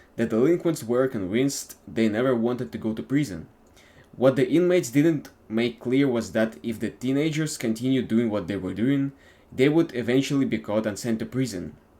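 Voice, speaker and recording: A man with a non-native accent talks at a moderate pace in a medium-pitched voice, his tone dark and mellow and his intonation lively. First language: not English. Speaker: YouTuber. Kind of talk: reading aloud from a book. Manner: halting, self-correcting.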